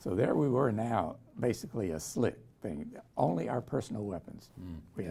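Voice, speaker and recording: Moderate pace from a man with a somewhat breathy, dark, mellow tone. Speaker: Vietnam War veteran helicopter pilot. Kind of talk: oral history interview answer.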